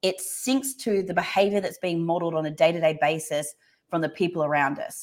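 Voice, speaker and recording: Speaking at a fairly quick pace with an Australian accent, a woman uses a fairly low pitch with ordinary pitch variation. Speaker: workplace culture and leadership expert. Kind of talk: casual interview chat.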